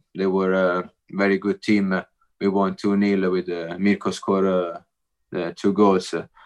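Against a quiet background, a man with an Italian accent speaks at fairly low pitch in a monotone, flat intonation. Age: 30s. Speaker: professional footballer. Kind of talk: interview. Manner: halting.

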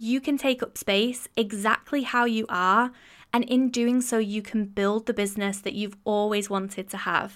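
Recorded very cleanly against a silent background, a woman with a plain, everyday voice speaks at a moderate pace with a fairly high pitch and fairly even intonation. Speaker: podcast host and design business mentor. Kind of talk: pep talk, warm encouraging monologue to listeners. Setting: solo podcast monologue. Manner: warm, encouraging, earnest; steady, reassuring, motivational.

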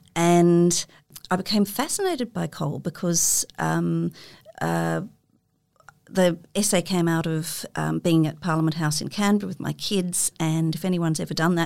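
At a moderate pace, a woman with an Australian accent speaks in a fairly low voice. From Sydney, Australia. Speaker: writer and creative writing lecturer. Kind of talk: casual interview. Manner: halting, many fillers.

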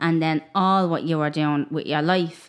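This woman has an Irish accent and a fairly low pitch. The recording is very clean, with a silent background. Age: 20s. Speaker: podcast host. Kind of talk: casual interview chat.

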